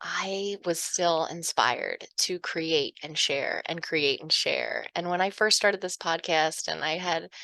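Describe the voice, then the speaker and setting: A woman's fairly low-pitched voice with a bright, sharp tone, at a very slow pace, dry, close sound with no echo, quiet background. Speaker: hypnotherapist and podcast host. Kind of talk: casual chat to listeners. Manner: emotional, tearing up.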